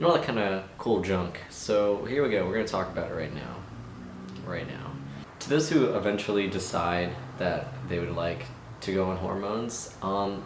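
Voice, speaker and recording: A man's fairly low voice at a moderate pace, with lively intonation and audible room echo. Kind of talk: casual vlog monologue. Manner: hesitant, many fillers.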